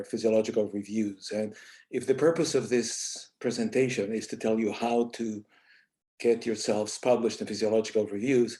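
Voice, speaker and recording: In a Spanish accent, a man speaks at a medium pitch with a dark, mellow tone and fairly even intonation against a quiet background. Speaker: associate journal editor, scientist. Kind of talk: panel presentation.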